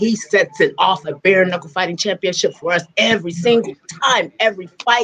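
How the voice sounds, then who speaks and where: Energetic, animated female speech at medium pitch and a moderate pace. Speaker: host of an MMA show. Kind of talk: casual interview, host talk.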